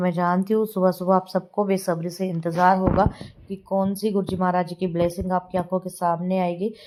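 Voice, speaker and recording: With noticeable background noise behind her, a woman speaks at a moderate pace and a medium pitch, hardly pausing, in a monotone, flat intonation. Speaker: devotional satsang vlogger. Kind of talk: devotional vlog narration. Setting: home, editing at night. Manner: tired, unsteady.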